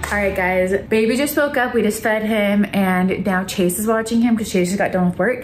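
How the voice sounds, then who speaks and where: Against light background noise and audible room echo, a woman speaks fairly quickly with ordinary pitch variation. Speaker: vlogger. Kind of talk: casual vlog chat. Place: home room. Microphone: phone near.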